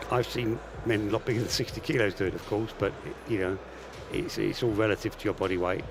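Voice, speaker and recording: Noticeable background noise sits behind a man talking at a very fast pace, his pitch fairly low and his intonation fairly even. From England. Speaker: armwrestling commentator and referee coach. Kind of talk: live commentary.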